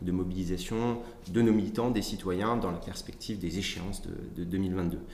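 A man speaks at a moderate pace in a very deep, low pitch. Audible room echo and noticeable background noise surround him. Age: 30s. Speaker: political party staff member. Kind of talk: interview. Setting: party headquarters office. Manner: halting, many repetitions and fillers.

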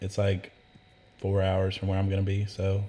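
A man talks at a very fast pace in a fairly low pitch. His voice is somewhat breathy. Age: 20s. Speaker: podcast guest, tattoo client. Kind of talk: casual chat.

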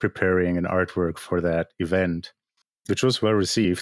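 Recorded dry and close with no echo, a man speaks at a moderate pace in a very deep, low voice. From Germany. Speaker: digital artist and crypto art historian. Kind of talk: podcast interview.

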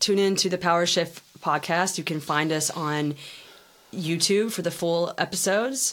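With an American accent, a woman talks at a moderate pace in a plain, everyday voice, her pitch fairly low and ordinarily varied. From United States. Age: 30s.

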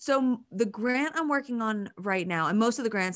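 Against a quiet background, a woman speaks in a normal speaking voice at a moderate pace with ordinary pitch variation. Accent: American. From Pennsylvania, US. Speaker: university professor. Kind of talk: interview conversation.

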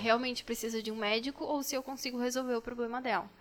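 The intonation stays fairly even. Its tone is bright and sharp. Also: woman. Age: 20s. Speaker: pharmacist. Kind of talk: casual chat.

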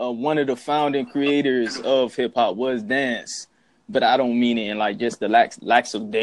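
With a medium pitch and ordinary variation in it, a man talks at a moderate pace. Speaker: hip hop fan. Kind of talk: casual chat.

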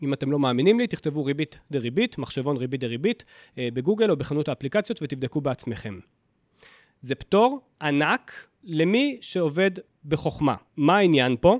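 On a very clean recording with a silent background, dry and close with no echo, a man in an ordinary speaking voice talks at a moderate pace with lively intonation and fairly high pitch. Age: 30s. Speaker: personal finance podcaster. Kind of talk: solo podcast monologue.

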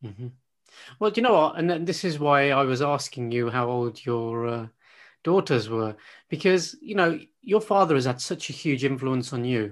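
A normal speaking voice from a man, fairly high in pitch, with lively intonation at a moderate pace over a quiet background. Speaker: podcast host and coach. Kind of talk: casual interview.

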